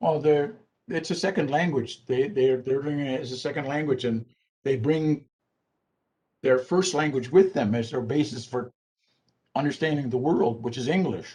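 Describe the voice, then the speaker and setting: A somewhat breathy man talks at a moderate pace with long, frequent pauses. His fairly high pitch has a dark, mellow tone and ordinary pitch variation. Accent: Canadian. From Six Nations of the Grand River, Ontario. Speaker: language program director. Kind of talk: Q&A answer after presentation. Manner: halting, many fillers.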